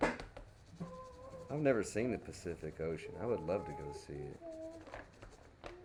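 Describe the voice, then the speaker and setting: Amid noticeable background noise and audible room echo, a man with a Texas accent speaks very slowly in a relaxed tone. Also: big swings in loudness. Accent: native Texas. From Texas, Dallas. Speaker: crayon painting streamer. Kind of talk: live painting tutorial chat. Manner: casual, relaxed.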